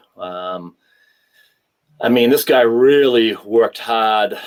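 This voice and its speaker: A man is speaking. He talks with a Boston accent. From New England (Boston area). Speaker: former hockey enforcer. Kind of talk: interview.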